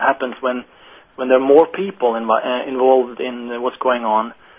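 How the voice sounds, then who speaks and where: A man speaks with a Norwegian accent at a moderate pace. His pitch sits in the medium range. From Norway. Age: young. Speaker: management consultant. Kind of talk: interview. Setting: phone call.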